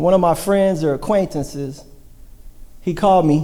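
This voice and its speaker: A man's dark, mellow tone at a fairly quick pace, with audible room echo. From US Midwest, Hamilton, Ohio. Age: 30s. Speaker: church member sharing testimony. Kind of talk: testimony. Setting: church service.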